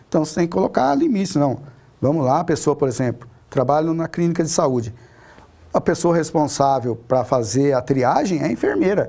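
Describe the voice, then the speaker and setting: The man's pitch is fairly high, with ordinary pitch variation. He keeps a fairly quick pace and very even loudness. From Paraná, Brazil (rural, small town); moved to São Paulo state at 16. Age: 40s. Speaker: city councillor; city councillor, interview guest. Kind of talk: interview; interview answer. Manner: halting, many fillers and repetitions. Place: studio.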